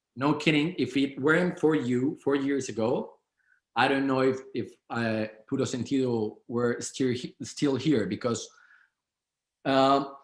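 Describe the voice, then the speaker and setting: At a fairly slow pace with long, frequent pauses, a man with a Spanish accent speaks at a medium pitch with ordinary pitch variation. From Colombia. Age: 30s. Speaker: business owner. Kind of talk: interview. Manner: halting, many repetitions.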